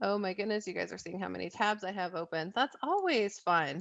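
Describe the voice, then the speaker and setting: A woman's medium-pitched voice at a fairly quick pace, with ordinary pitch variation over a quiet background. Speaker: marketing coach hosting a webinar. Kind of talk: webinar presentation. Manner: fast.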